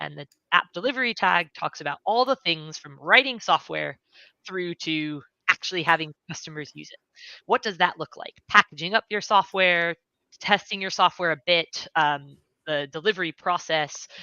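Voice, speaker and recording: A woman's normal speaking voice with an American accent, fairly low in pitch, at a moderate pace with ordinary pitch variation. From United States. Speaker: software engineer. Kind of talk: livestream interview.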